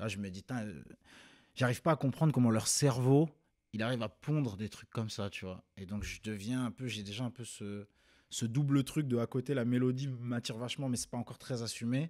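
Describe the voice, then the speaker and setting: With an unremarkable speaking voice, a man talks at a fairly quick pace at medium pitch, using ordinary pitch variation and big swings in loudness against a quiet background. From Rennes, Brittany, France; Brittany, France. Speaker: rapper and singer; interviewee. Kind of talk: interview. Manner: casual. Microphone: studio mic.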